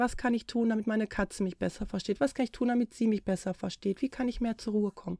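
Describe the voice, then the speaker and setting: A woman speaks very fast in a dark, mellow tone with fairly even intonation, her dry, close sound carrying no echo on a very clean recording with a silent background. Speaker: podcast host, animal communicator. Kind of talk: solo podcast monologue. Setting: home, cat audible in background.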